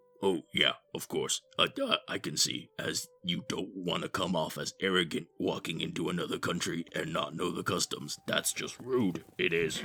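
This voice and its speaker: In a put-on character voice, a man rasps at a very deep, low pitch and a moderate pace, with hardly any pauses. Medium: audio drama. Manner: hesitant, full of ums and uhs.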